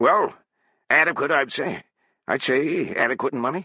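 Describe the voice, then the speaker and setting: In a put-on character voice, a man talks at a moderate pace with a raspy, fairly high pitch. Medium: read story. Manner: hesitant, stammering.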